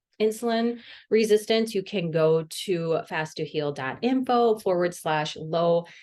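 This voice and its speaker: A woman with a Midwestern US accent, at a fairly slow pace with ordinary pitch variation. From US Midwest, Wisconsin. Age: 40s. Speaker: dietitian and podcast host. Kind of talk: solo podcast monologue. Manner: casual, chatty.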